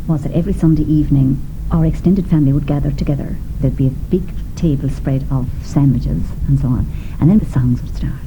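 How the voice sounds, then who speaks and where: A woman talks at a fairly quick pace with an Irish accent. Audible room echo and noticeable background noise fill the recording. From southwest Ireland. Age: 50s. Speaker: singer. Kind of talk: radio documentary interview.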